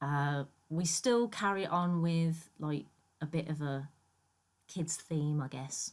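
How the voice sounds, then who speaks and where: A woman speaks at a very slow pace with a very deep, low pitch and ordinary pitch variation. Long pauses come often. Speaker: gaming YouTuber. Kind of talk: gameplay voiceover commentary. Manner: casual, with many fillers.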